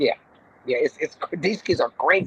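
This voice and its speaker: With an American accent, a woman speaks at a fairly quick pace and medium pitch in an animated tone, the sound dry and close with no echo. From Compton, California. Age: 50s. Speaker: comedian and bus driver. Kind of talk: casual chat.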